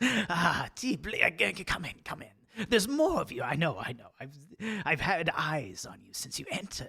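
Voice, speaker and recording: This is a put-on character voice with a sinister tone. The pace is moderate. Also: man, high pitch for a man. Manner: sinister, welcoming.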